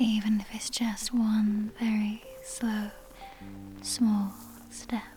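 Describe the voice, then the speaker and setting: A soft-spoken woman's fairly high voice in a monotone, flat intonation, very slow and full of long, frequent pauses, with music in the background. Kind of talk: girlfriend roleplay comfort ASMR. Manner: soft-spoken, gentle; slow, soothing.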